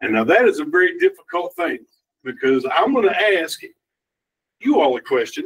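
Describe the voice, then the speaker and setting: At a moderate pace, a man speaks with a strong Kentucky accent. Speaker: community development director, former elected official. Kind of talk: presentation to a council meeting. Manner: casual, joking.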